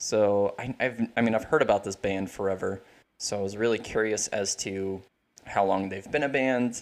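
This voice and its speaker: A plain, everyday voice, a man with fairly low pitch and fairly even intonation at a moderate pace, on a very clean recording with a silent background. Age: 20s. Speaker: musician. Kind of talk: casual chat.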